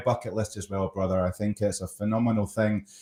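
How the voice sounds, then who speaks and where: A man talks at a fairly quick pace in a Scottish accent. His tone is dark and mellow. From Scotland. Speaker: storyteller and LinkedIn coach. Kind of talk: casual interview chat.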